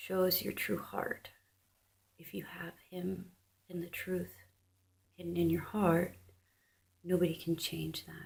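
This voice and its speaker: A soft-spoken woman talks at a very slow pace. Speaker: religious video blogger. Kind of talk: religious monologue vlog.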